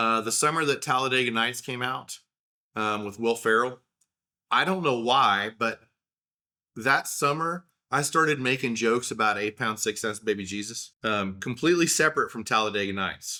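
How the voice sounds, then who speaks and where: On a very clean recording with a silent background, a man with an Oklahoma accent talks at a moderate pace in a bright, sharp tone, with a medium pitch and ordinary pitch variation. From Oklahoma, US. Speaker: podcaster. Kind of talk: casual monologue. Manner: conversational with fillers.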